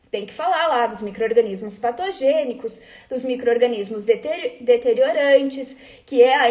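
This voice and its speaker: At a moderate pace, the speech carries lively intonation while noticeable background noise runs underneath. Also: woman. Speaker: food quality trainer. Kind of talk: live webinar talk. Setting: live stream.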